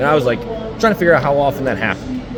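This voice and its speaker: A man with a fairly high pitch and lively intonation, with music in the background. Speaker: equipment trainer. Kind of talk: on-site training demonstration. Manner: fast.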